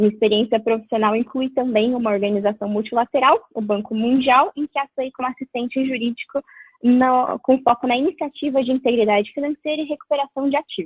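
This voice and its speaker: A high-pitched woman talks with hardly any pauses. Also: ordinary pitch variation, fairly quick pace. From Brazil. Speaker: lawyer. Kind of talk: webinar presentation. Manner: formal.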